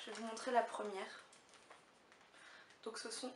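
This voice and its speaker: Amid audible room echo, a woman with a fairly high pitch speaks in a monotone, flat manner. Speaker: beauty and fashion vlogger. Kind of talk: haul video chat. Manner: hesitant with many fillers.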